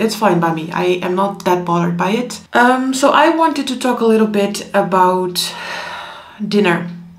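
There is audible room echo as a woman speaks at a moderate pace. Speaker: vlogger. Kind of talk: casual vlog chat. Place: home room.

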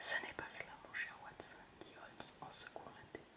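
A woman whispers at a fairly slow pace over noticeable background noise. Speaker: ASMR reader. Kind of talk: whispered audiobook-style story reading. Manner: whispered, soft, slow.

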